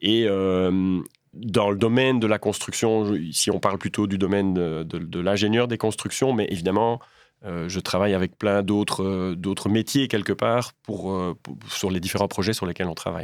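This man has a fairly low pitch and fairly even intonation at a moderate pace. The recording is very clean, with a silent background. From Belgium, Liège province (Waremme). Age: 40s. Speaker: civil engineer and bridge project director. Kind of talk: interview. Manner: hesitant, frequent repetitions.

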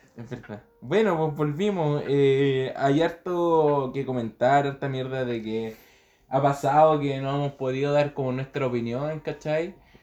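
In a Chilean accent, a man talks fairly slowly at a fairly high pitch with a dark, mellow tone and ordinary pitch variation. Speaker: podcast co-host. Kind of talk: casual chat.

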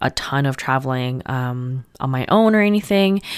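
A woman's very deep, low voice at a moderate pace, on a very clean recording with a silent background. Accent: Canadian. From Canada. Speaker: podcast host. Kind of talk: casual personal monologue. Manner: casual, with many fillers.

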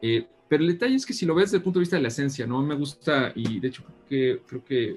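Somewhat breathy and fairly quick, a man speaks with a central Mexican accent and ordinary pitch variation. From Mexico, Guanajuato. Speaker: design consultant and professor. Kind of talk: interview.

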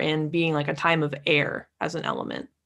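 Using vocal fry and an American accent, a woman talks at a moderate pace on a very clean recording with a silent background. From Lake Tahoe, California. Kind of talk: casual interview chat.

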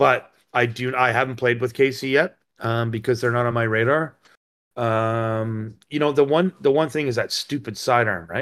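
An unremarkable speaking voice from a man, medium in pitch with ordinary pitch variation, at a moderate pace, on a very clean recording with a silent background. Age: 50s. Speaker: podcast host. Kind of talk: casual chat.

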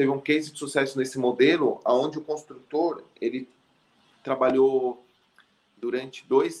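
A man with a normal speaking voice, fairly high pitch, fairly even intonation and a fairly slow pace. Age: 30s. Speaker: tech startup founder and CEO. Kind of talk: business interview. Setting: live video stream.

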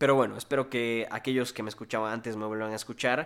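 Bright, sharp in tone, a man's medium-pitched voice moves with ordinary pitch variation. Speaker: podcast host. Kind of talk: solo podcast monologue. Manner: hesitant with fillers.

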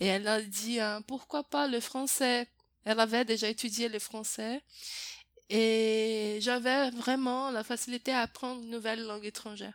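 Monotone and flat in intonation, a woman speaks at a fairly slow pace in a fairly high pitch. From Brazil. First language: Portuguese (speaking French). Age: 20s. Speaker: French teacher. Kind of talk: interview. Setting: host's home. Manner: hesitant, many fillers.

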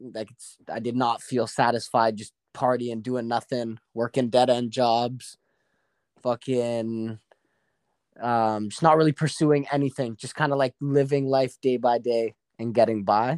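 A man speaks at a fairly slow pace in a plain, everyday voice, medium in pitch with fairly even intonation but big swings in loudness. The sound is dry and close with no echo, on a very clean recording with a silent background. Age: 20s. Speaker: professional Muay Thai fighter and personal trainer. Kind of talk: casual interview chat.

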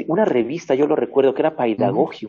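This man talks fairly quickly. His voice sits at a medium pitch. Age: 60s. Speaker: university radio host. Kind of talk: interview. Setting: online radio program.

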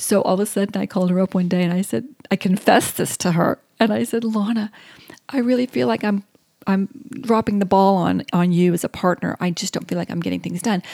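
A woman in a Southern US accent, very fast, with a dark, mellow tone, medium pitch and lively intonation. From US South. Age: 50s. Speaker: podcast co-host. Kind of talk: casual chat.

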